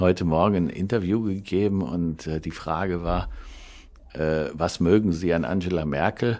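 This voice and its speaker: A man speaks at a moderate pace in a very deep, low voice, with ordinary pitch variation. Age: 60s. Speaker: food wholesaler and podcast co-host. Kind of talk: casual chat.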